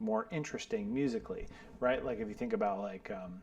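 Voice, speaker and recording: Noticeable background noise sits under a man whose pitch swings very widely. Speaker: bass teacher. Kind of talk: tutorial. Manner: casual, filler-heavy.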